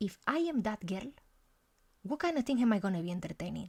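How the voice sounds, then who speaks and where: Somewhat breathy and fairly high-pitched, a woman talks at a fairly quick pace. Her intonation is lively. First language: Spanish. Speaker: life coach and content creator. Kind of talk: casual monologue vlog. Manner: animated.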